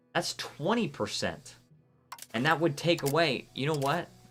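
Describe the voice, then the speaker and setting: Music plays behind a man speaking in an American accent. His tone is animated and his pace fairly slow. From Florida, US South. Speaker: video game streamer. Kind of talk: live gameplay stream commentary with chat reading. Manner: casual, animated.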